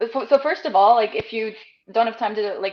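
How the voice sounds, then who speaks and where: A woman speaks with a German accent in a fairly high voice. She talks at a very fast pace. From western Germany, near Luxembourg border. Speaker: podcast guest, marketing manager. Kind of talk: casual interview.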